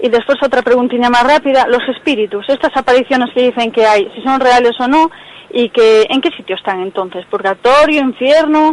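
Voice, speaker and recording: High pitch from a woman, with ordinary variation in pitch. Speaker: radio caller. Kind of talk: phone-in question. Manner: fast.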